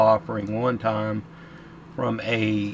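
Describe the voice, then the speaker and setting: A man talks over noticeable background noise. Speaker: flight sim gamer. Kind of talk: casual gameplay commentary. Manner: halting, stumbles over words.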